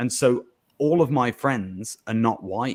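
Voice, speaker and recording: A man in a Birmingham accent at medium pitch, with ordinary pitch variation. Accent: Birmingham English (Brummie). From England, Birmingham. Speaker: podcast guest. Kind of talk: casual chat.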